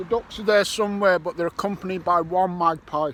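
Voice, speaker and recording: A man with a Liverpool accent speaks in a raised, projected voice with ordinary pitch variation. Noticeable background noise runs behind him. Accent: Scouse. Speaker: metal detecting YouTuber. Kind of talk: vlog narration. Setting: outdoors.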